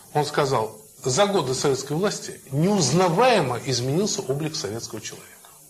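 A man with a fairly high voice is heard over noticeable background noise. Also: lively intonation, moderate pace. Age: old. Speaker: lecturer on family and marriage. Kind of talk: lecture to young audience. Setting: in front of a young audience, live.

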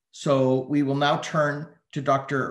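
A man's voice with audible room echo. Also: quiet background. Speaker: think tank director and moderator; moderator. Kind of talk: webinar moderation. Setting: video call. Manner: formal. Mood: polite, formal. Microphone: video call.

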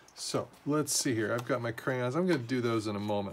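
A man at a medium pitch with an American accent, ordinary pitch variation and a fairly quick pace. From California. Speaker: art teacher. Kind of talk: tutorial. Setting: home garage. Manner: casual, friendly.

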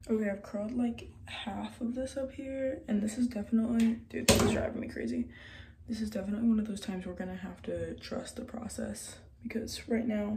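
Noticeable background noise behind a woman's fairly quick speech. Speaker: beauty vlogger. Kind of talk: casual vlog chat. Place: bathroom. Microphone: phone near.

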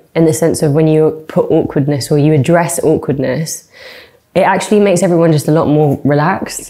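A woman's very deep, low pitch and dark, mellow tone against a quiet background. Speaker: singer. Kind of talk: interview answer. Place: studio.

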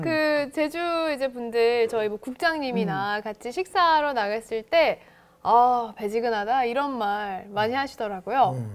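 Her pitch is high and her intonation lively. The woman talks at a moderate pace. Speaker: announcer. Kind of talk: casual talk show chat. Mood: cheerful, smiling. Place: studio. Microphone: lapel.

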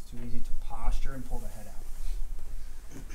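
A man speaks over noticeable background noise. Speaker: martial arts instructor. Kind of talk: tutorial. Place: gym.

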